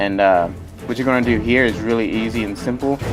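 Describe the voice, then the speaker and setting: Music plays behind a man talking at a fairly quick pace. His pitch varies in an ordinary way. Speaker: gaming youtuber. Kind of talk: gameplay commentary. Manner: halting, many fillers; casual.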